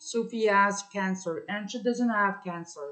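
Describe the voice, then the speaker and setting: A woman speaks in a French Canadian accent. Her pitch sits in the medium range. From Ontario, Canada (francophone). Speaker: vlogger. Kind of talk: personal testimony. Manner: halting, many fillers.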